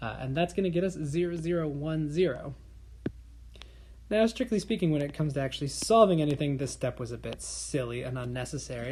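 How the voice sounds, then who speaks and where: A woman speaks fairly quickly in a very deep, low voice with a dark, mellow tone that is somewhat breathy. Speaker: math teacher. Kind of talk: tutorial.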